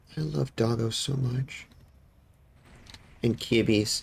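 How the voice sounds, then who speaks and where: A man's medium-pitched voice with vocal fry and ordinary pitch variation. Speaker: VTuber streamer. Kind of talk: casual chat while gaming.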